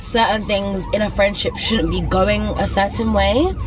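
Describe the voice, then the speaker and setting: Over music in the background, a woman's voice comes through with a dry sound and no echo. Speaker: vlogger. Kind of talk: casual vlog chat. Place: car. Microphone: phone near.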